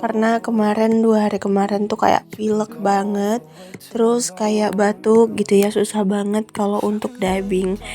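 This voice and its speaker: Over music in the background, a woman speaks fairly slowly in a fairly high pitch with monotone, flat intonation. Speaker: housewife vlogger. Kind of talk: vlog voiceover narration. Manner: casual, chatty.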